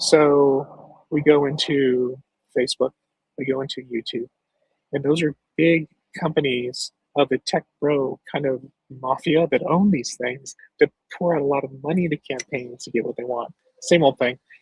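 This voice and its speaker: A man's somewhat breathy voice at a moderate pace, with long, frequent pauses. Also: fairly high pitch for a man, fairly even intonation. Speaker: political candidate and show host. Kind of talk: live stream talk. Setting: outdoors with dog.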